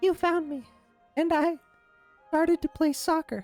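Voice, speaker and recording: Faint music plays behind a put-on character voice, squeaky and high-pitched, moving at a moderate pace. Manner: small, soft, low-energy.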